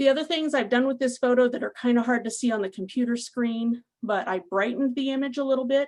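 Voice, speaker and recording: A woman's voice, high in pitch. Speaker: food safety extension specialist giving a webinar. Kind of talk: webinar presentation. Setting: online webinar. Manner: fast.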